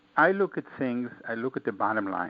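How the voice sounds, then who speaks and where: A man's medium-pitched voice with an American accent and lively intonation. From Israel, Austria, then Brooklyn, New York. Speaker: author. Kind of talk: interview. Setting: online radio show. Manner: animated.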